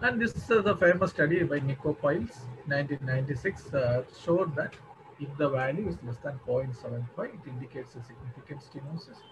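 The speaker keeps a moderate pace with big swings in loudness as noticeable background noise runs underneath. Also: man, fairly high pitch for a man. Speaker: cardiologist. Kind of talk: lecture. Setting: video call. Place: home room. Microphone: webcam.

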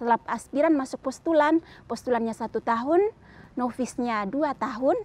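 A woman speaks in a high pitch. The sound is dry, with no echo. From Flores, East Nusa Tenggara, Indonesia; East Nusa Tenggara, Indonesia. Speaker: nun. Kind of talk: testimony. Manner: casual, hesitant with fillers. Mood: calm, warm. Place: garden. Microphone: lapel.

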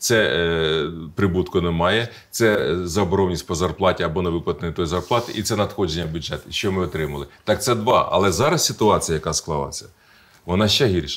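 A man's very deep, low voice at a fairly quick pace with ordinary pitch variation. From central Ukraine, Kirovohrad region; Ukraine. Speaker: regional politician. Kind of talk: interview. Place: studio. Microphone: lapel.

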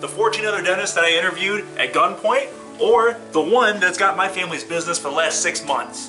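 Raising and projecting his high voice, a man speaks fairly quickly with ordinary pitch variation as clear music plays in the background. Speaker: comic infomercial host. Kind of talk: comedy parody infomercial. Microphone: phone near.

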